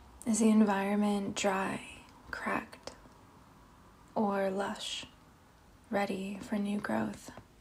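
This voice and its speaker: Amid noticeable background noise, a woman speaks very slowly in a calm, soothing tone with a medium pitch, fairly even intonation and long, frequent pauses. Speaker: meditation guide. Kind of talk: guided meditation. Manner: slow, calm, soothing.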